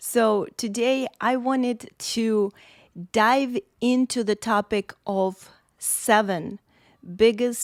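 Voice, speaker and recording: A woman speaks with ordinary pitch variation. The recording is very clean and dry, with a close sound, no echo, and a silent background. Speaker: podcast host. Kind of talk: solo podcast monologue. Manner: animated.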